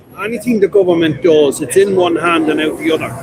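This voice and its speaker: With a Dublin accent, a man speaks fairly quickly at a high pitch with ordinary pitch variation, and noticeable background noise is present. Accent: Dublin Irish. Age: 60s. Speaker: retired fire brigade member. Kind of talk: street interview. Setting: outdoors at a street protest.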